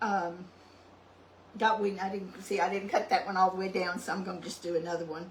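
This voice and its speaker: Over noticeable background noise, a woman with an East Texas accent speaks at a medium pitch. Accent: East Texas Southern US. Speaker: cooking channel host. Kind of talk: cooking tutorial. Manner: soft-spoken; hesitant with many ums.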